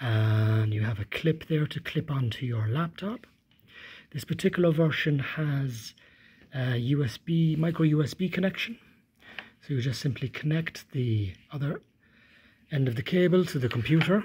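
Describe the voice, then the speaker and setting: The delivery moves at a moderate pace, broken by long, frequent pauses. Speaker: instructor demonstrating equipment. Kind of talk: tutorial. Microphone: phone near.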